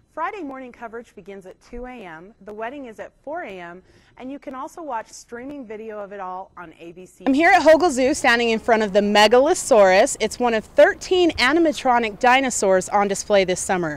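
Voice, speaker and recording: Talking at a fairly quick pace with hardly any pauses, a woman with an American accent uses a high pitch, very wide pitch swings and big swings in loudness, recorded dry with no echo. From United States. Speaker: TV news reporter. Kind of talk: TV news report.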